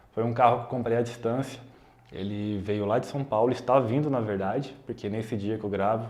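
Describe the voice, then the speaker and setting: This man talks at a fairly quick pace with fairly even intonation and a dark, mellow tone. His voice sits at a medium pitch, and the room echo is audible. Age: 20s. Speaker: YouTuber, software developer. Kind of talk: casual vlog explanation. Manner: casual, conversational.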